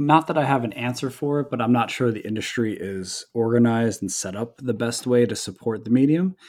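A man speaks at a medium pitch and a moderate pace, with ordinary pitch variation. The recording is very clean, with a silent background. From New Jersey. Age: 30s. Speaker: comic book writer. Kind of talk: interview. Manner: halting, many fillers and repeats.

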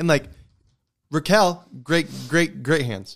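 Vocal fry runs through a man's voice as he talks at a very slow pace. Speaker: hockey podcast host. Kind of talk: casual chat.

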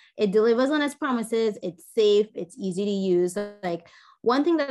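A woman talks at a moderate pace in an enthusiastic tone while music plays behind her. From Trinidad. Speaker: makeup artist. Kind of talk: casual interview chat.

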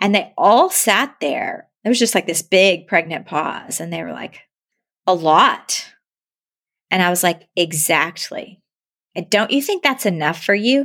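A woman with a plain, everyday voice, medium pitch and lively intonation. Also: fairly slow pace. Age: 40s. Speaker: marriage and family therapist. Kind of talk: interview conversation.

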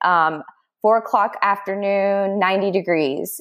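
A woman with an American accent at a moderate pace, ordinary pitch variation, and a quiet background. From Texas, Dallas. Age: 30s. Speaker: distance runner. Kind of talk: casual interview.

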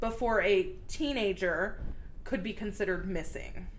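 A woman with an American accent talks at a very slow pace, her pitch swinging very widely, with audible room echo around her. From Texas. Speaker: true crime podcast co-host. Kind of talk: casual chat.

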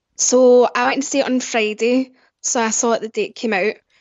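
This woman has a high-pitched voice. She talks with a Scottish accent. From Scotland, Glasgow. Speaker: podcast guest, movie fan. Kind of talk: casual chat.

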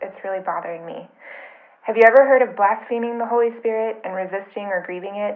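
A woman talks at a very fast pace. Her intonation is fairly even. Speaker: listener with a question. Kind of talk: recorded voicemail question. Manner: anxious.

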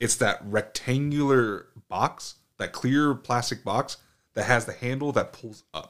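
Using an American accent, a man at medium pitch speaks at a fairly slow pace with ordinary pitch variation and big swings in loudness. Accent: American English, limited Spanish. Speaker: podcast co-host. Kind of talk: casual chat. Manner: casual, profane.

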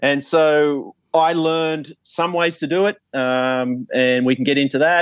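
With an Australian accent, a man talks using ordinary pitch variation in a dry, close sound that has no echo. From Australia, New South Wales central coast. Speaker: golf coach. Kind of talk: casual chat.

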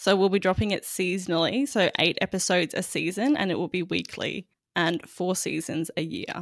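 The speaker has an Australian accent, and the recording is very clean with a silent background. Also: woman, medium pitch for a woman, ordinary pitch variation, moderate pace. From Queensland, Australia. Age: 20s. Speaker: magazine editor. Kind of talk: interview conversation.

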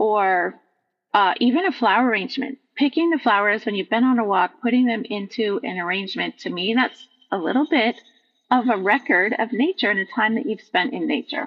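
Moving at a fairly quick pace, this is an ordinary speaking voice with lively intonation. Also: woman, fairly high pitch for a woman. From Vermont, US Northeast. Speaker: nature journaling teacher. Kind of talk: casual interview.

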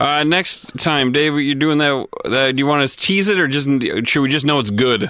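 Noticeable background noise sits behind a man speaking at a moderate pace in a fairly high pitch. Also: ordinary pitch variation. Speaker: podcast co-host and musician. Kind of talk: casual comedic chat. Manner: rambling, off the cuff.

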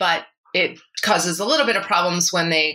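Speaking with an American accent, a woman has an unremarkable speaking voice, fairly low in pitch, with ordinary pitch variation. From Massachusetts (Brookline). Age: 40s. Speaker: musical comedian. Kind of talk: interview.

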